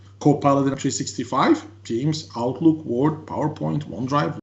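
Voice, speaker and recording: This man's voice sits fairly high and sounds somewhat breathy. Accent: French. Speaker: tech consultant presenter. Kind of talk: webinar presentation. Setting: online webinar.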